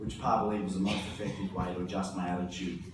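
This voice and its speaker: A man speaks at a fairly quick pace. The room echo is audible and the background noise noticeable. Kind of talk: eulogy speech. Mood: fond, lightly humorous, emotional. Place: church.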